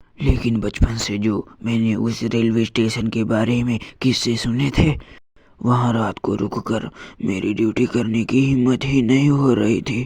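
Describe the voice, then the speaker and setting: A cartoonish character voice delivers its lines at a moderate pace in a flat, monotone intonation. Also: man, medium pitch for a man. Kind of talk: horror narration. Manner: tense, first-person storytelling.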